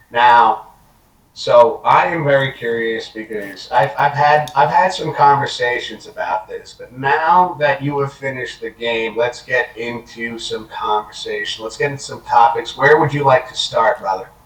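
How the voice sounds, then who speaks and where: A man at a moderate pace, with big swings in loudness, amid noticeable background noise. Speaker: gaming podcast co-host. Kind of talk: casual chat. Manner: hesitant, many fillers.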